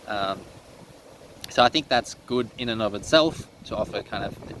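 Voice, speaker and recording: A man with an Australian accent at a medium pitch, with noticeable background noise. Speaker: teacher and online resource seller. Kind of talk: casual vlog monologue. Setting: seated indoors. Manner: hesitant, many fillers.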